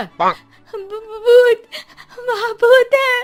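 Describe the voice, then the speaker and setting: Shouting in a put-on character voice, the speaker hits an extremely high pitch. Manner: screaming in fear, stammering.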